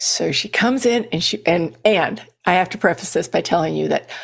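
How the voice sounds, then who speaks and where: A woman speaks with vocal fry in a fairly low pitch at a moderate pace. The recording is very clean, its background silent. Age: 60s. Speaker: fitness coach. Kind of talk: podcast monologue. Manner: animated.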